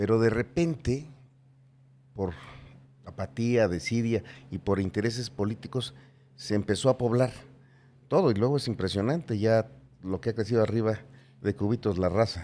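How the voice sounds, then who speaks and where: Long, frequent pauses break up a dark, mellow tone delivered at a moderate pace with ordinary pitch variation. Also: man, medium pitch for a man. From Mexico, Pachuca, Hidalgo. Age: 60s. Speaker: politician, gubernatorial candidate. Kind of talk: casual interview conversation.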